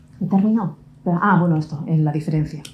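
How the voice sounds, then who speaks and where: With a Basque accent, a woman speaks at a fairly quick pace with ordinary pitch variation. Her tone is dark, mellow and somewhat breathy. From Basque Country. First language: Basque (speaking Spanish). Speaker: lawyer and conference speaker. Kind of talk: conference talk.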